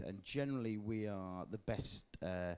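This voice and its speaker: Ordinary pitch variation marks this voice with a Leeds accent. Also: man. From northern England, Leeds. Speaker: music industry representative. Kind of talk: panel interview. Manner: casual with many fillers.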